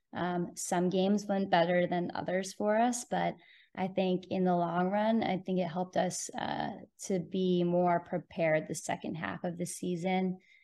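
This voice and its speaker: A woman with a Californian accent, medium in pitch, monotone and flat in intonation, at a moderate pace. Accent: Californian American. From Southern California (Bonita, near San Diego). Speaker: college ice hockey coach. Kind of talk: interview.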